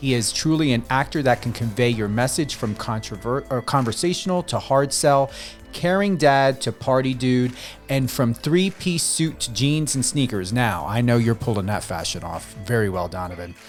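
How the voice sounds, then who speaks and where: A man talks at a medium pitch and moderate speed. Music can be heard behind him. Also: lively intonation. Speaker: radio host. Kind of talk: radio interview hosting.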